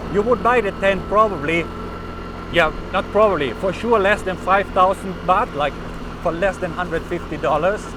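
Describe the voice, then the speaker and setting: Loud speech at a moderate pace comes through noticeable background noise. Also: man, high pitch for a man, ordinary pitch variation. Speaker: travel vlogger. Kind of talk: casual vlog monologue. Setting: riding a motorbike. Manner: halting.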